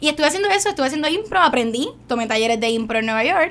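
A woman talks at a very fast pace. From Puerto Rico, San Juan. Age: young. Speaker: actress. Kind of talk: radio interview.

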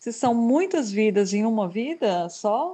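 This woman's voice has a dark, mellow tone, a fairly high pitch and lively intonation. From Brazil. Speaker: graphic designer. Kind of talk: casual chat.

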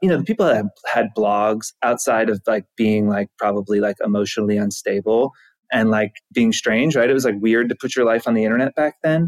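A man with an American accent and a normal speaking voice, medium pitch, ordinary pitch variation, very even loudness, a fairly quick pace and a dry, close sound with no echo. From US South, Georgia. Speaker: tech company co-founder. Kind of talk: interview.

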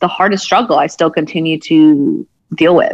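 A woman with an American accent and an ordinary speaking voice talks at a fairly slow pace in a fairly low pitch. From United States, Punjabi American family. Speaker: therapist and empowerment coach. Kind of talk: casual interview chat.

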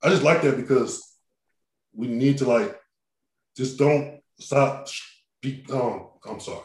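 Somewhat breathy and in an American accent, the speech moves at a very slow pace with long, frequent pauses, ordinary pitch variation and big swings in loudness. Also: man. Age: 30s. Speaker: podcast host, wheelchair user. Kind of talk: casual interview chat. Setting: remote call.

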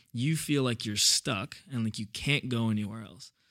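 Moderate in pace and medium in pitch, a man with an unremarkable speaking voice talks with ordinary pitch variation. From New York City (Brooklyn). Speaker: church youth director. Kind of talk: casual chat.

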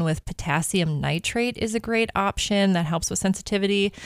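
Recorded very cleanly against a silent background, a woman speaks with an American accent and ordinary pitch variation. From Minnesota. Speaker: dentist. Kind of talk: radio interview.

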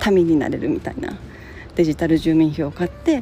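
A woman speaks in a somewhat breathy, relaxed voice with a dark, mellow tone. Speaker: podcast host. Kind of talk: casual solo talk. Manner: relaxed, many fillers.

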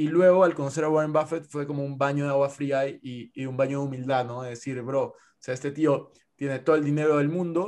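This man talks at a fairly quick pace with a fairly high pitch and fairly even intonation. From Peru. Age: 20s. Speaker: investor and content creator. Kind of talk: casual interview.

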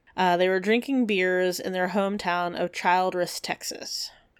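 Her intonation fairly even and her pitch medium, a woman talks in an unremarkable speaking voice. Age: 30s. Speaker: podcast co-host. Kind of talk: casual chat with researched storytelling. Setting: remote recording.

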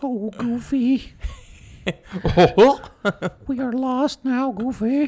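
A put-on character voice with fairly high pitch moves at a very slow pace. Long, frequent pauses fill the delivery. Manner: worried, exclaiming.

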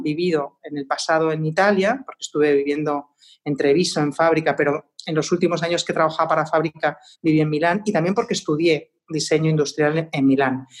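Fairly even intonation marks delivery that runs at a fairly quick pace. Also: woman. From Spain, Madrid. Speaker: designer and artist. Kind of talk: casual interview.

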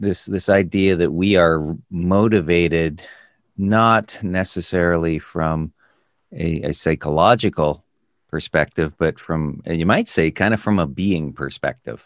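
Against a quiet background, a man speaks at a very deep, low pitch in a dry, close sound with no echo. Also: ordinary pitch variation, fairly slow pace. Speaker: business consultant podcast host. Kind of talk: casual interview-style conversation.

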